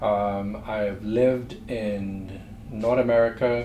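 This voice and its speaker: A man at a fairly low pitch speaks in a flat monotone, with audible room echo and noticeable background noise. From Trinidad and Tobago. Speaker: entrepreneur. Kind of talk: interview.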